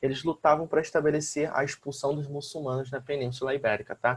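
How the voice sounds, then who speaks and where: A man's somewhat breathy voice on fairly even intonation. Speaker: school teacher. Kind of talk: lecture.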